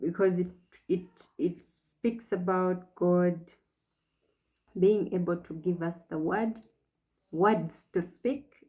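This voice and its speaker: The speaker is soft-spoken and talks at a very slow pace. The intonation stays fairly even. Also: woman. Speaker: faith vlogger on infertility. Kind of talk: personal reflection monologue. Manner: slow, deliberate articulation.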